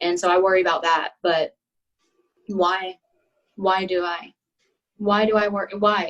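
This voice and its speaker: With an American accent, the speaker talks at a fairly slow pace in a monotone, flat intonation, leaving long, frequent pauses. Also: woman, medium pitch for a woman. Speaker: podcast guest. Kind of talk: casual chat.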